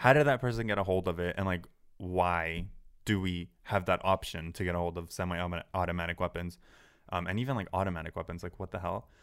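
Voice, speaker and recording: In an American accent, a man speaks at a very fast pace. His pitch is very deep and low, and the recording is very clean with a silent background. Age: 20s. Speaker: social media creator. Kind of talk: casual chat.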